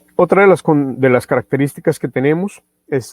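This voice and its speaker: A man's medium-pitched voice with ordinary pitch variation, dry and close with no echo. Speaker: product trainer presenting a radio receiver. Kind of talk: webinar product presentation. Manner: slow, deliberate; many filler sounds.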